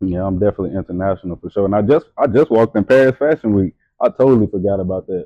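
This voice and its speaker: A man's fairly low voice in a Louisiana accent, very fast in pace, with ordinary pitch variation. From Louisiana (Hammond). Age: 20s. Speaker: model and entrepreneur. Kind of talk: casual chat. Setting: tattoo studio.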